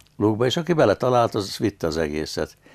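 A man against a quiet background. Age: 80s+. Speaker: dancer and businessman; interview guest, former actor. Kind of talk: interview. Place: studio.

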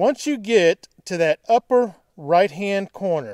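A man's high-pitched voice at a slow pace with lively intonation. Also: slightly mellow tone.

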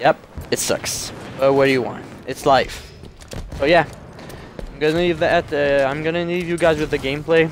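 A man's fairly high-pitched, monotone voice with flat intonation and a French Canadian accent, at a moderate pace with long, frequent pauses, over noticeable background noise. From Quebec, Canada. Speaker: gaming YouTuber. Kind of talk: gameplay commentary with intro. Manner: hesitant, self-correcting.

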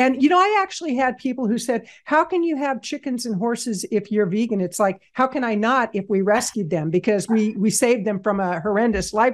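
A woman with an ordinary speaking voice, fairly high in pitch with lively intonation, at a fairly quick pace with hardly any pauses against a quiet background. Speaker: podcast host. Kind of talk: casual interview conversation.

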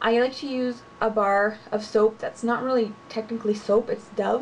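Against light background noise, a woman speaks in a monotone with flat intonation. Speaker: beauty vlogger. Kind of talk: casual vlog chat. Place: home room. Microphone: webcam.

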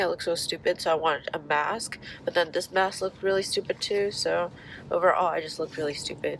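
A nasal voice with a dry, echo-free sound and light noise in the background. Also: woman. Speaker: vlogger after nose surgery. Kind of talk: casual vlog chat. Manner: nasal, blocked-nose voice after nose surgery. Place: car. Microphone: phone near.

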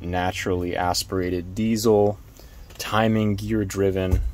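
Here a man speaks at a very slow pace with a fairly low pitch. The sound is dry with no echo. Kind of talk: walkaround vehicle tour. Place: car. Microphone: phone near.

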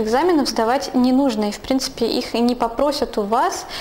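Moderate pace and ordinary pitch variation. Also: woman. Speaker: vlogger. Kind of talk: vlog monologue. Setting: at home. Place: home room. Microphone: lapel.

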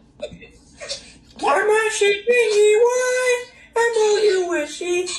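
In a put-on character voice, the speaker talks at an extremely high pitch and a very slow pace. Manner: playful, cartoonish.

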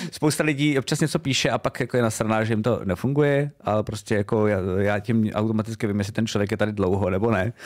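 Against a quiet background, a man speaks at a very fast pace with hardly any pauses. His loudness stays very even, and his pitch varies in an ordinary way. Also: fairly low pitch for a man. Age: 30s. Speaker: streamer and vidcast host; streamer, vidcast host. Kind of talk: casual chat. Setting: home streaming studio. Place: home room. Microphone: studio mic.

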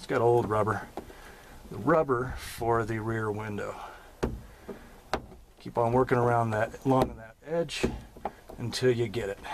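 Against noticeable background noise, a man speaks at a fairly slow pace with fairly even intonation and long, frequent pauses. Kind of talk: tutorial. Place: car. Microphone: phone near.

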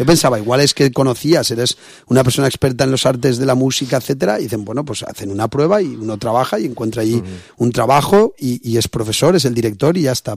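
Against a quiet background, a man talks at a very fast pace in a dry sound with no echo. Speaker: radio host. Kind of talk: casual interview. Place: studio.

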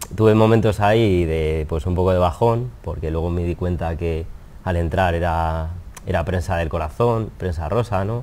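Very deep and low, a man's voice has a dark, mellow tone. He keeps a moderate pace with ordinary pitch variation. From Spain. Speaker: wedding photographer; interviewee. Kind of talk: interview. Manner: hesitant, repetitive. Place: studio. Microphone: lapel.

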